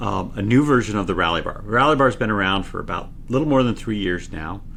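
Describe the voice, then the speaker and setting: With audible room echo, a man with an American accent talks very fast at a fairly low pitch, his intonation lively. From Utah. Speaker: tech company engineer. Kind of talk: casual interview. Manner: gets louder when excited.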